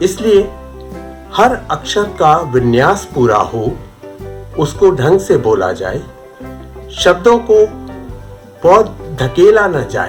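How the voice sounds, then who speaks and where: A man's high voice with very wide pitch swings and long, frequent pauses, music playing in the background. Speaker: radio announcer. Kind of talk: interview answer.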